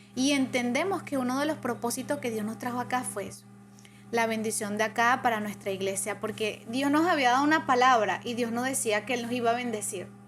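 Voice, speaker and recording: Vocal fry runs through a woman's fairly high voice, which has ordinary pitch variation. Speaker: churchgoer sharing testimony. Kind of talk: testimony.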